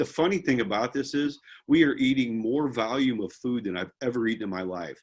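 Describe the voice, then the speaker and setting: A man talks at a fairly quick pace, at a medium pitch. He has an ordinary speaking voice. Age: 60s. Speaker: real estate investor group member. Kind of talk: casual chat.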